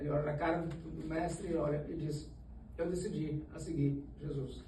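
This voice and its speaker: In a room with audible echo, a man speaks in a fairly high voice with monotone, flat intonation. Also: moderate pace. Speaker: Sunday school teacher. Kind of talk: Bible study lesson. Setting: church. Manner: halting, self-correcting.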